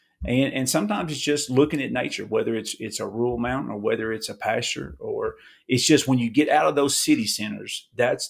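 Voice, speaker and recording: Recorded very cleanly against a silent background, a man speaks at a moderate pace in a Kentucky accent. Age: 40s. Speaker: appraiser. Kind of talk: podcast interview. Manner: casual, repetitive restarts.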